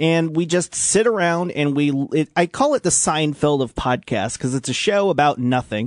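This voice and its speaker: In a Midwestern American accent, the speech comes at a moderate pace with ordinary pitch variation, a dry, close sound with no echo, and a quiet background. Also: man. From US Midwest, Illinois (Washington near Peoria). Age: 30s. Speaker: radio host. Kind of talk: casual radio show talk.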